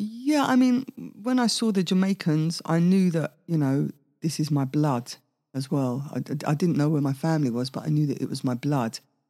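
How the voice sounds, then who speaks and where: A woman's very deep, low voice with a dark, mellow tone, very wide pitch swings and a moderate pace, on a very clean recording with a silent background. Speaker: singer. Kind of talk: interview.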